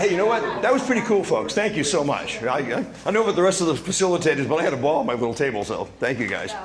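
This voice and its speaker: A man talks at a very fast pace and a high pitch, with very wide pitch swings. Noticeable background noise and audible room echo come through. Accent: Boston. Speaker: discussion table facilitator. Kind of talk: reporting back to a meeting. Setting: community club meeting with microphone.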